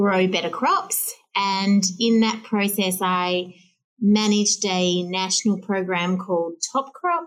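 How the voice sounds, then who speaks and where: In an Australian accent, a woman talks at a very slow pace and a medium pitch. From Western Australia. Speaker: plant breeding company CEO. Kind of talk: interview.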